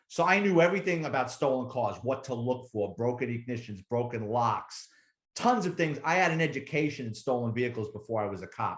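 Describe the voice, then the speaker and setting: Lively intonation marks this man's speech, delivered in a New York accent at medium pitch. He talks at a fairly quick pace and sounds somewhat breathy. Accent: New York (Bronx). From New York City, the Bronx. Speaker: retired police officer and author. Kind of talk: casual interview storytelling. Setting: podcast interview. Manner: animated.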